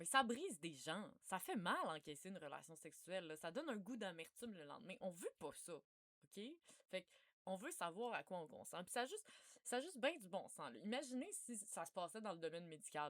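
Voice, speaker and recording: Speaking at a moderate pace with a Quebec accent, the woman uses a medium pitch, lively intonation and big swings in loudness. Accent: Québécois French. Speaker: researcher. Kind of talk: informal talk. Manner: casual.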